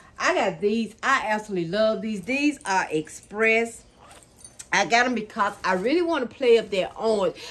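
Ordinary pitch variation and a moderate pace shape this woman's speech. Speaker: thrift haul vlogger. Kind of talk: casual vlog chat. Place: home room.

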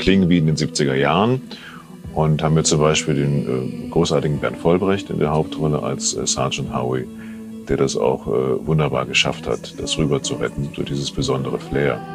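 Over clear music in the background, the speech moves at a moderate pace with ordinary pitch variation. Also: man. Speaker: dialogue director. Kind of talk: interview answer. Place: studio. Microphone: lapel.

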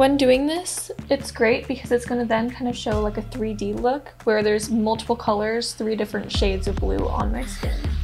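Over clear music in the background, a woman talks at a moderate pace with hardly any pauses. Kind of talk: tutorial. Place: home room.

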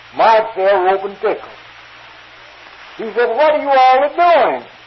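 Noticeable background noise accompanies a man who talks at a fairly slow pace with lively intonation. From North Carolina. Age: 50s. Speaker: turpentine worker. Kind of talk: humorous folk tale. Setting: old field recording, poor sound.

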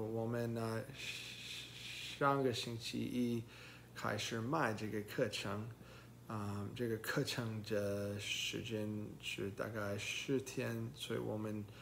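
Over light background noise, a man talks at a very slow pace in a fairly low pitch with fairly even intonation. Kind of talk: casual vlog chat. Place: home room. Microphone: phone near.

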